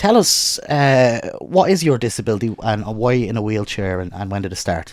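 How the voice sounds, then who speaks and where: Intonation is lively, with an Irish accent. There is noticeable background noise. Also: man, medium pitch for a man, moderate pace. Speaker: podcast host. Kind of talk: casual chat.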